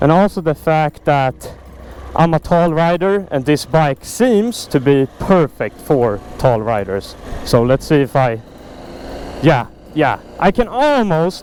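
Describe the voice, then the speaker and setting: A man's fairly high voice in a Swedish accent, very slow, with very wide pitch swings and noticeable background noise. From Sweden, Stockholm. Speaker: motorcycle vlogger. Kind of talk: casual vlog talk to camera. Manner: enthusiastic.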